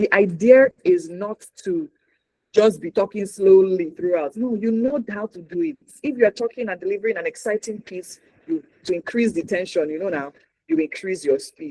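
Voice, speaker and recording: The speaker has a Nigerian accent. The tone is animated and the pace moderate. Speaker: news anchor and communication trainer. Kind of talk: workshop talk.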